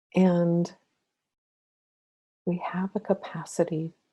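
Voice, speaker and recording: A somewhat breathy woman's voice of medium pitch and dark, mellow tone, dry and close with no echo. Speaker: spiritual counselor and meditation guide. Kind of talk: spiritual talk with guided meditation.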